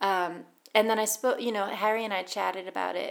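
Vocal fry runs through a woman's speech in an American accent. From US, Boston. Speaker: author. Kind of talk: casual interview.

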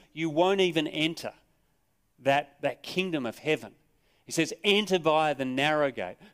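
With an Australian accent, a man speaks at a high pitch and a moderate pace, with ordinary pitch variation, in a very clean recording with a silent background. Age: 50s. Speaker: pastor. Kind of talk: sermon. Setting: church.

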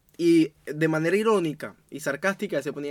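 A man speaks with a Venezuelan accent at a fairly high pitch. The recording is very clean, with total silence behind him. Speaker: podcast co-host and producer. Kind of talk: casual chat.

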